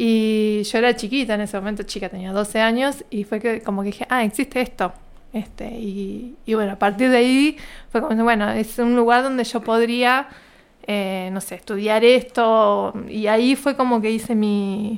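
This woman has a fairly high pitch and keeps a moderate pace. Her intonation is fairly even. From Argentina, Río Negro province. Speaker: scientist and university lecturer. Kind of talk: interview.

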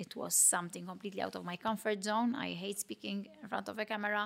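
A woman speaks with a Maltese accent at a moderate pace, her pitch medium. Her tone is bright and sharp, and the recording is very clean with a silent background. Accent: Maltese local. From Malta, Mtarfa. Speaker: fitness competitor and trainer. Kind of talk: interview.

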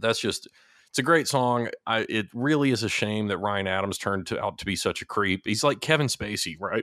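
A man speaks at a fairly quick pace in a medium pitch, with ordinary pitch variation and a bright, sharp tone. The recording is very clean, with a silent background and a dry, close sound with no echo. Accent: slight Texas. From Texas. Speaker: music podcast co-host. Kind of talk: casual chat.

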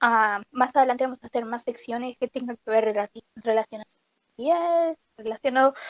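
The sound is dry and close, with no echo. A woman speaks at a high pitch. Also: ordinary pitch variation, moderate pace. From Uruguay. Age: 20s. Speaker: podcast co-host, university student. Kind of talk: casual chat.

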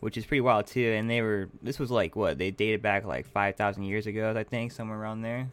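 Speaking at a very fast pace with a West Coast accent, a man keeps his intonation fairly even. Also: hardly any pauses. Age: 20s. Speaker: podcast host. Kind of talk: casual chat.

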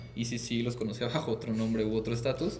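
Over noticeable background noise and audible room echo, a man at a medium pitch talks at a very fast pace. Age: 20s. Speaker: university student and entrepreneur. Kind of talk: casual interview chat.

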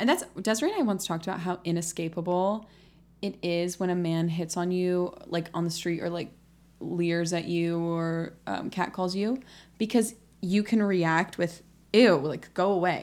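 At a moderate pace, a woman with an unremarkable speaking voice talks in a fairly low pitch with fairly even intonation, recorded very cleanly against a silent background. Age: 20s. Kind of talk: casual chat.

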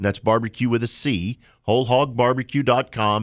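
Recorded very cleanly with a silent background and a dry, close sound with no echo, a man with an American accent and a normal speaking voice talks fairly quickly at medium pitch. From Oklahoma. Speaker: trade association executive. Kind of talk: radio interview. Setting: studio.

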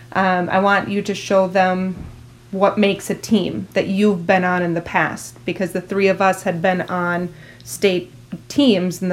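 With an Upper Midwest accent, a woman speaks in fairly even intonation. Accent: Upper Midwest (Minnesota). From New Ulm, Minnesota. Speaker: former athlete. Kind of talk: interview.

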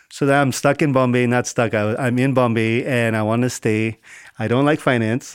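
In a very clean recording with a silent background, a man of medium pitch speaks at a moderate pace in a monotone, flat intonation. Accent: American. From US. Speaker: climate startup accelerator founder. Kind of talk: interview.

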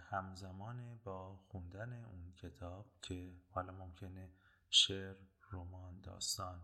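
Very deep and low in pitch, a man speaks at a very slow pace with a bright, sharp tone. His intonation is monotone and flat, while his loudness swings widely. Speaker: podcast host. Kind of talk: casual podcast intro.

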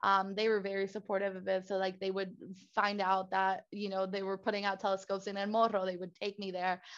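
A woman speaks with a Spanish accent at a medium pitch and a fairly quick pace. Her intonation is monotone and flat, over a quiet background. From Puerto Rico, San Juan area. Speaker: astronomy PhD student. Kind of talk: interview.

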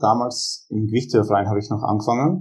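A man speaks in a somewhat breathy voice with a dark, mellow tone. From Austria, Graz (Styria). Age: 20s. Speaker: powerlifter and strength coach. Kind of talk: casual interview.

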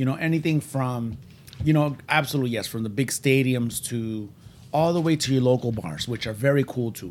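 With a Puerto Rican accent, a man speaks at a fairly quick pace. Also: medium pitch for a man, ordinary pitch variation. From Puerto Rico. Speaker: podcast host. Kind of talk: casual chat. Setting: studio. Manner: fast talker; excitable.

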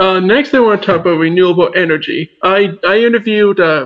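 A man speaks with a high pitch and a Maritime Canadian accent. His pitch varies in an ordinary way, and his pace is fairly quick. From southwestern New Brunswick, Canada. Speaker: student podcast host. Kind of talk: interview.

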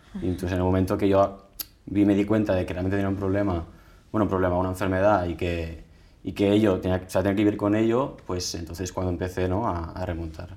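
The voice runs at a very fast pace with a dark, mellow tone and monotone, flat intonation. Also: man, very deep, low pitch for a man. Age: 20s. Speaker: patient with atopic dermatitis. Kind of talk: interview testimony. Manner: halting, with frequent repetitions.

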